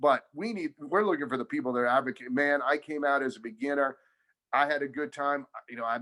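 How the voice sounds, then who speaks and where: Loud and fairly quick, a man speaks in a fairly high pitch. His tone is bright and sharp. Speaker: tennis club coach. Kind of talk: casual interview chat. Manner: energetic, enthusiastic.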